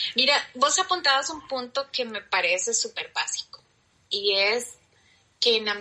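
A woman speaks in a Costa Rican accent. Her pitch shows ordinary variation. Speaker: guest. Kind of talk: casual chat.

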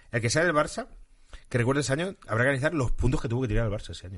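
Lively intonation at a very fast pace over a quiet background. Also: man. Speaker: football podcast host. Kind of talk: casual chat.

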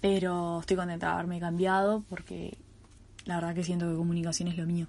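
Fairly quick delivery from a woman, fairly low in pitch, with monotone, flat intonation. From Uruguay. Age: 20s. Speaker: podcast host, student. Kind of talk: casual monologue. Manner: hesitant, many fillers and repetitions.

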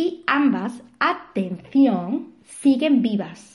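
A woman's voice with ordinary pitch variation. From Spain, Seville. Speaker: marketing consultant and podcast host. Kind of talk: podcast self-introduction monologue.

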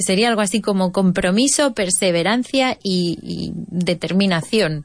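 A woman with a Spanish accent speaks at a moderate pace with lively intonation. The background is quiet. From Spain, Jaén (Andalusia). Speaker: radio host and English teacher. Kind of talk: educational talk show, mixing English and Spanish. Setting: studio, pre-recorded radio show.

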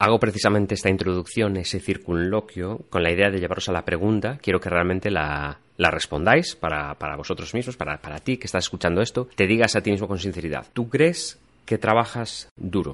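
A man talks at a fairly quick pace with hardly any pauses. His pitch is very deep and low, with ordinary variation. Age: 30s. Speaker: podcast host. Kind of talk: reflective monologue. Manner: intimate, reflective.

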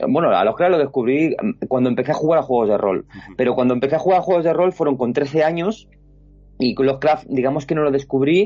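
A man talks at a fairly quick pace with music in the background. His pitch is fairly high, with ordinary variation. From Spain, Alcalá de Henares (Madrid region). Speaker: illustrator and artist. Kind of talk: casual interview chat. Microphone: lag on the connection.

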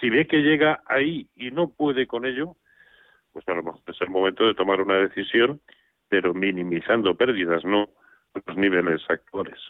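Using an unremarkable speaking voice, a man keeps a moderate pace and lively intonation. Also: fairly low pitch for a man. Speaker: stock market analyst. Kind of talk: radio market advice. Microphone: line cutting out.

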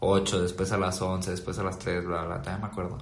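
Audible room echo surrounds a man as he speaks. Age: 20s. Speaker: video editor. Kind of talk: casual chat.

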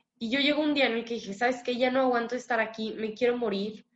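A woman speaks with a Mexican accent at a high pitch. Her intonation stays fairly even. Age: 20s. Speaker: recovering addict sharing her story. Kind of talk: testimony.

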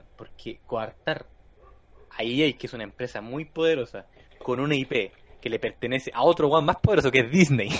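A man with a Chilean accent, fairly high pitch, and moderate pace. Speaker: gaming podcast host. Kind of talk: casual chat. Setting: live stream.

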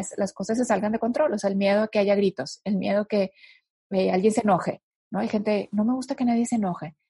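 Her voice is fairly high and somewhat breathy, with a dark, mellow tone and ordinary pitch variation. The woman talks at a fairly quick pace, and the sound is dry and close with no echo. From northern Mexico. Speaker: guest speaker on emotional healing. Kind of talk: interview conversation.

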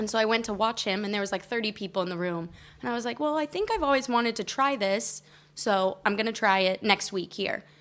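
With a General American accent, a woman talks at a fairly quick pace in a plain, everyday voice, fairly high in pitch with ordinary pitch variation, on a very clean recording with a silent background. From Colorado, US. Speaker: comedian. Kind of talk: casual chat.

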